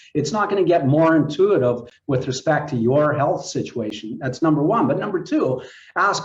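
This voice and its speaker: A man talks in a fairly high voice. There is a somewhat breathy quality to it. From Saskatchewan, Canada (Moose Jaw). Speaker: health tech company representative. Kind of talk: casual chat.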